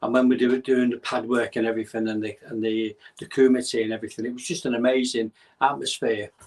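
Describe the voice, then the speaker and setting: At a fairly quick pace, a man with a Mancunian accent speaks at a medium pitch with fairly even intonation. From northern England, North Manchester. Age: 60s. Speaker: bodyguard and karate champion. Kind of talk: podcast interview.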